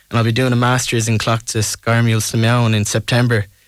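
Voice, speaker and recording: In a west of Ireland accent, a man speaks at a medium pitch in a very clean recording with a silent background. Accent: west of Ireland Irish. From Ireland, Tuam, County Galway. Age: 20s. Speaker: singer-songwriter. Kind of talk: radio interview.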